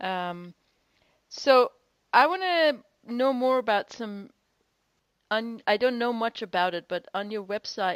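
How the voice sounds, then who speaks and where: In a non-native accent, a woman with a fairly high pitch and lively intonation speaks with long, frequent pauses, her voice dry and close with no echo on a very clean recording with a silent background. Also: fairly slow pace. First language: not English. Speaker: podcast host. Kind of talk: interview.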